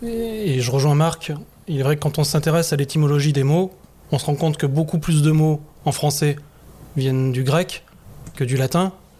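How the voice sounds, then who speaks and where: The voice is somewhat breathy, with very even loudness and ordinary pitch variation. It moves at a moderate pace, broken by long, frequent pauses. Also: man, fairly high pitch for a man. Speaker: masonic grand master. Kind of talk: discussion. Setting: in front of a live audience.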